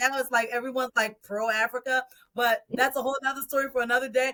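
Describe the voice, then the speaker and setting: A woman's high, bright, sharp voice, raised and projected, in a dry, close recording with no echo. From Liberia. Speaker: podcast host. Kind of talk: casual interview chat.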